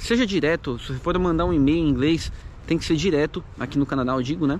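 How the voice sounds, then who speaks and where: There is noticeable background noise behind a man speaking at a fairly quick pace. His pitch varies in an ordinary way. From Brazil, São Paulo. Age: 30s. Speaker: YouTuber, immigrant vlogger. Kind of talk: casual vlog monologue. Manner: casual, hesitant with fillers.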